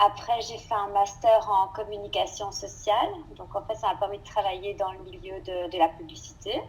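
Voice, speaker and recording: Woman with an ordinary speaking voice at medium pitch, fairly even intonation, big swings in loudness and a moderate pace. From Belgium, Brussels. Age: 50s. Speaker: French teacher. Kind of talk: interview.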